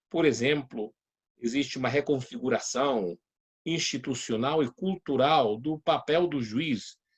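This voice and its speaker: A man speaks in a fairly high pitch with ordinary pitch variation. The sound is dry and close, with no echo. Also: fairly slow pace. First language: Spanish (speaking Portuguese). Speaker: judge and law lecturer. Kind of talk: lecture. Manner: halting, many hesitations.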